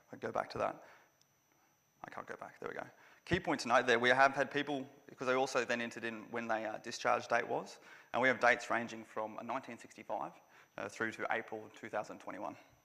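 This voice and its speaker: A man's medium-pitched voice with an Australian accent and a bright, sharp tone, fairly quick yet broken by long, frequent pauses, with fairly even intonation over a quiet background. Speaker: veteran advocate, conference organiser. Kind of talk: conference presentation. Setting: conference venue with live audience. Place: hall. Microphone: podium.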